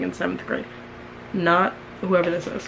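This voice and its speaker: Noticeable background noise sits behind a woman's voice. She speaks in an animated tone at a medium pitch. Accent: American. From New York. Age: 20s. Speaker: YouTuber. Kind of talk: casual chat, reading own diary aloud.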